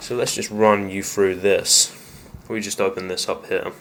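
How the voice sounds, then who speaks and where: With an English accent, a man speaks in a fairly low pitch with a bright, sharp tone. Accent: English accent, noticeable. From England. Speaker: gaming YouTuber. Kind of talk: casual setup tour talk to camera. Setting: home office. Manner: casual, filler-heavy.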